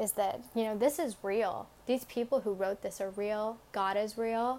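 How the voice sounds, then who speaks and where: A woman with a normal speaking voice talks at medium pitch and a moderate pace. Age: 20s. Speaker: podcast host giving Bible devotionals. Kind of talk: devotional talk. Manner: casual, with fillers.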